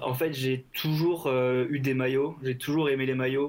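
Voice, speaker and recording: With a plain, everyday voice, a man at medium pitch speaks with fairly even intonation. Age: 20s. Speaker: football shirt collector. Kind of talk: casual interview.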